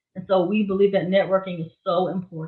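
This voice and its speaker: A woman speaks in a Southern US accent. Her pace is fairly quick. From Florida, Miami. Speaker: gospel singer and songwriter, music business educator. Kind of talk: interview.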